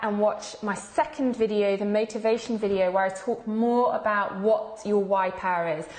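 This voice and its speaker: A woman speaks in a fairly high pitch. Noticeable background noise is audible. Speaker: fitness coach and membership founder. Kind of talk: live video presentation. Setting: live stream.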